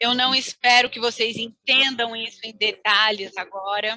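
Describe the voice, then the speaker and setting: Using monotone, flat intonation, a woman with a fairly high pitch talks at a fairly slow pace. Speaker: webinar presenter on project management. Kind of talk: webinar presentation with slides.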